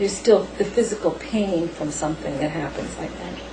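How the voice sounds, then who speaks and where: A woman speaks at a medium pitch and a fairly quick pace, her pitch varying in an ordinary way. The recording carries noticeable background noise and audible room echo. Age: 50s. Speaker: paranormal experiencer. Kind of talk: interview. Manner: halting.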